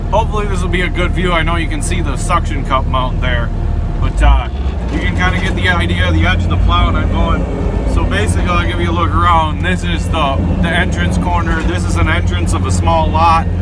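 Over loud background noise, a man speaks at a fairly quick pace with ordinary pitch variation. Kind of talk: casual work narration. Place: car. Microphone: camera far.

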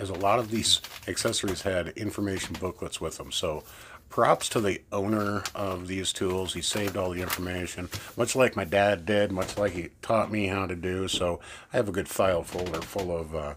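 Over light background noise, a man with a very deep, low pitch speaks at a moderate pace with fairly even intonation. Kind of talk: casual show-and-tell commentary. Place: workshop.

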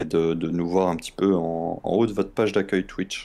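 In a very clean recording with a silent background, a man speaks with a very deep, low pitch and a dark, mellow tone. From southern France. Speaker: gaming stream co-host. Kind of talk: casual chat.

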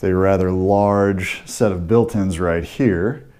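A man's fairly low, dark, mellow voice with an American accent. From US Midwest, St. Louis. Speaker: real estate agent. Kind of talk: walking property tour narration, pointing out features room by room. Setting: walking through a house while filming. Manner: casual, conversational with frequent 'uh' and 'um' fillers. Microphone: phone near.

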